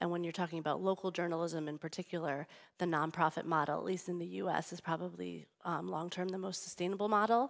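A woman with an American accent at a very fast pace, hardly any pauses, against a quiet background. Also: fairly low pitch for a woman. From United States. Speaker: public radio sponsorship executive. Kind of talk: panel discussion. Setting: stage with audience. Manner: animated. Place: stage.

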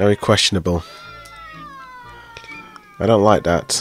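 The sound is dry with no echo, and light background noise is present. Pitch varies in an ordinary way. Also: man. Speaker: movie reaction creator. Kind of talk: casual reaction commentary. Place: home room. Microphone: studio mic.

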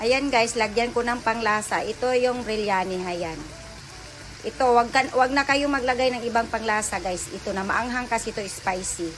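Speech at a moderate pace over faint music in the background. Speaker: home cook vlogger. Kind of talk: casual cooking tutorial chat. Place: kitchen. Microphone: phone near.

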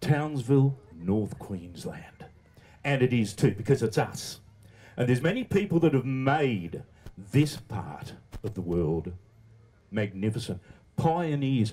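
A man with a dark, mellow, somewhat breathy tone talks with very wide pitch swings and long, frequent pauses. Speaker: radio broadcaster telling a story. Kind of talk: storytelling speech to an audience. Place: stage. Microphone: handheld.

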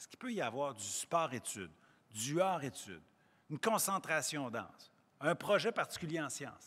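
A man's bright, sharp voice at a moderate pace. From Quebec. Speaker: provincial education minister. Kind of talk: press conference. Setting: in a school. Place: hall. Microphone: podium.

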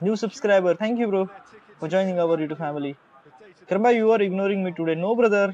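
A man speaks in a high pitch with ordinary variation. Noticeable background noise sits behind him. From Maharashtra, India. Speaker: gamer livestreamer. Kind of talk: live game commentary. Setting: live stream. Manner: excitable, reacting aloud to goals.

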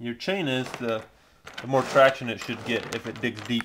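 Light background noise runs behind a man's speech. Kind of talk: tutorial. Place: garage. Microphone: phone near.

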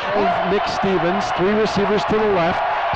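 Noticeable background noise surrounds a man speaking at a fairly slow pace. His voice is high in pitch, with an animated, energetic tone. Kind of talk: live sports play-by-play commentary. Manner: animated, breathless, energetic.

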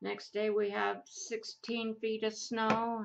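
A woman speaks with an American accent over light background noise. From Idaho, US. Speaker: craft YouTuber. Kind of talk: casual crafting tutorial chat. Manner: rambling, hesitant with many fillers. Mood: relaxed, chatty. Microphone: camera far.

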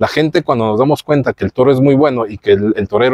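In a quiet background, a man talks at a very fast pace with fairly even intonation. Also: dry sound with no echo. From Mexico. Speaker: podcast host. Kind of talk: interview. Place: garden.

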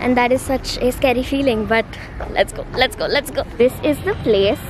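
A woman with a high pitch and ordinary pitch variation speaks at a moderate pace, the sound dry with no echo and noticeable background noise. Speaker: vlogger. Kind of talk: casual vlog chat.

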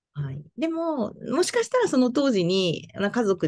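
Over a quiet background, a woman speaks at a moderate pace. Her pitch varies in an ordinary way. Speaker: fortune teller; interviewee. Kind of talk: interview; interview answer. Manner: halting. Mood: friendly, smiling. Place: home room. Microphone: video call.

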